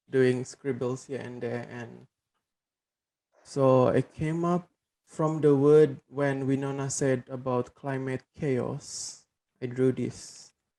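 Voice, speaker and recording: A soft-spoken man talks very slowly with a dark, mellow tone and monotone, flat intonation. His loudness swings widely. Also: medium pitch for a man. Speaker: program participant. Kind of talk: casual discussion. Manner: hesitant.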